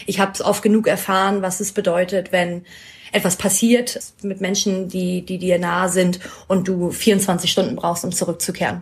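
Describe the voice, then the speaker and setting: On a very clean recording with a silent background, a woman talks at a moderate pace in a medium pitch. Her voice is somewhat breathy, with monotone, flat intonation. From northern Germany, Schleswig-Holstein. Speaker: interviewee. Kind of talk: casual interview.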